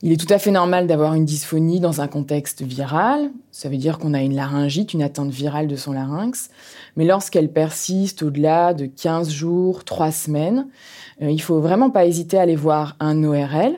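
An energetic woman's voice at a very deep, low pitch, with ordinary pitch variation and a moderate pace. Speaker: ENT doctor. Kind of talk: expert interview.

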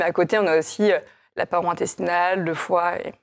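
Against a silent background in a very clean recording, a woman speaks with monotone, flat intonation. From France, Chinon (Indre-et-Loire). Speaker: company co-founder. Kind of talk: interview.

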